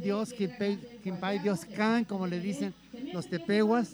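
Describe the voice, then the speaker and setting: A high-pitched man speaking very slowly over noticeable background noise. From Guadalajara, Mexico. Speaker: Jesuit priest, former radio director. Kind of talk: live radio interview. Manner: halting.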